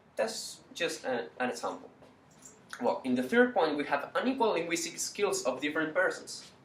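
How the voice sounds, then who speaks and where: A man talks with a high pitch and very wide pitch swings at a moderate pace. There is noticeable background noise. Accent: Spanish. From Chile. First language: Spanish. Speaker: university student. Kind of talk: class presentation. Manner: halting.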